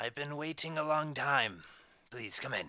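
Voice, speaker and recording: Putting on a character voice, a man talks at a moderate pace, his pitch fairly high. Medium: actual play. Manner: cryptic, expectant.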